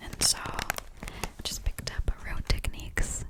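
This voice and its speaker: A woman whispering in a gentle tone at a very slow pace, with noticeable background noise. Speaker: ASMR content creator. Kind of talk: ASMR haul video, whispered to camera. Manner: soft whispered, gentle.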